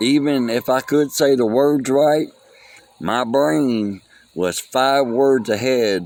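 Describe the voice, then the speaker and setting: The speech moves at a very slow pace, broken by long, frequent pauses, with ordinary pitch variation. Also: man. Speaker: vlogger mourning a friend. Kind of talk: casual monologue. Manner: halting, loses track.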